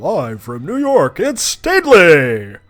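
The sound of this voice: A man speaks in a put-on character voice, pitched high, with very wide pitch swings. His pace is fairly slow.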